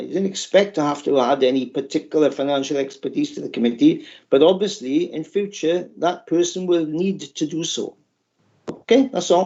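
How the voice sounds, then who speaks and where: This man's pitch is high. He talks at a moderate pace with ordinary pitch variation. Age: 70s. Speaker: lay committee member. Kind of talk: committee meeting discussion. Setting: remote video meeting. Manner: halting.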